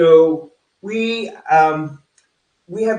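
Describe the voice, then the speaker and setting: A man with a Texan accent, fairly high pitch and lively intonation. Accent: Texan American. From Texas. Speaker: real estate coach. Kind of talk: online presentation. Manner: fast; casual, filler-heavy.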